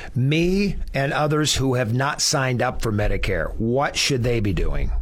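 A fairly high-pitched male voice at a moderate pace amid noticeable background noise. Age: 60s. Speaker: radio host. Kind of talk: radio interview. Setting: studio.

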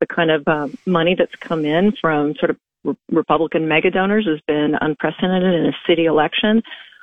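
A woman talks at a fairly quick pace with ordinary pitch variation. She has a plain, everyday voice. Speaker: city mayor. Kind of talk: radio interview. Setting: phone call.

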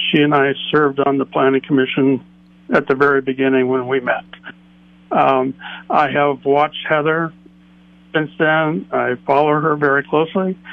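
This man's voice sits fairly high and stays monotone and flat. His loudness is very even, broken by long, frequent pauses. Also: moderate pace. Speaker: caller. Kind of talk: call-in comment. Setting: phone call.

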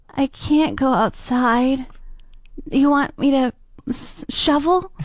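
A woman's put-on, whiny character voice, high-pitched and very slow, with ordinary pitch variation and a whiny tone. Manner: whiny, complaining.

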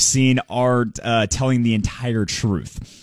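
A man at medium pitch with a normal speaking voice, dry and close with no echo, on a very clean recording with a silent background. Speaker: financial advisor. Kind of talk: market commentary interview.

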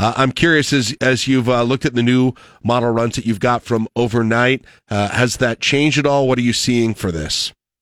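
A normal speaking voice at a moderate pace, with very even loudness and fairly even intonation, recorded very cleanly against a silent background with a dry, close sound and no echo. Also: man, medium pitch for a man. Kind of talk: radio host introducing a meteorologist for a winter storm forecast call. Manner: chatty, easygoing morning-radio banter.

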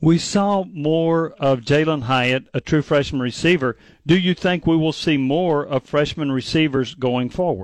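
An unremarkable speaking voice from a man, fairly high-pitched with ordinary pitch variation, fairly slow and very even in loudness, with hardly any pauses, against a quiet background. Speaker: sports radio co-host. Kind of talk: radio sports talk.

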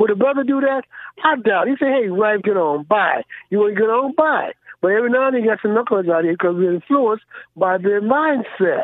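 This man speaks with an American accent, fairly quickly and with lively intonation. His pitch is high, and his loudness stays very even. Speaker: caller. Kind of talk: call-in radio discussion. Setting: phone call.

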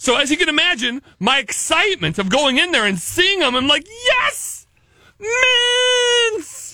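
A man's raised, projected voice at an extremely high pitch, bright and sharp in tone, with very wide pitch swings, very even loudness and a fairly slow pace. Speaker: radio host. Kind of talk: casual radio banter. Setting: studio.

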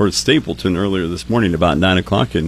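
Against noticeable background noise, a man with a very deep, low pitch speaks at a very fast pace with very wide pitch swings. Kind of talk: radio weather report, reading radar and forecast.

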